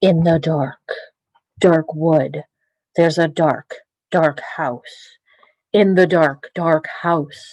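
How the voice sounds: In a put-on character voice at middle pitch, the speaker goes at a very slow pace with long, frequent pauses.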